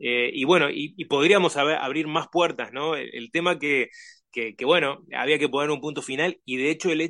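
Against a quiet background, a man talks at a fairly quick pace. His tone is bright and sharp, with ordinary pitch variation. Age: 40s. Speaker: author and musician. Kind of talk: interview. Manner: halting, many fillers.

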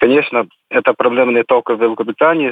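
This is a man speaking. He has an English accent. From Scotland. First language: English (speaking Russian). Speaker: former railway engineer, immigrant. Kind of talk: interview.

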